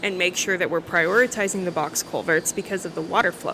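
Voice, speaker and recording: This woman's medium-pitched speech has ordinary pitch variation, and noticeable background noise is present. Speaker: city official. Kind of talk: casual chat.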